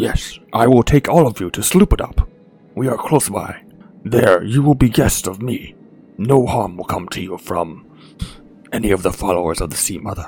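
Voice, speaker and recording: A man uses a put-on character voice at a medium pitch. He keeps a moderate pace. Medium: actual play. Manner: formal, slightly stilted speech.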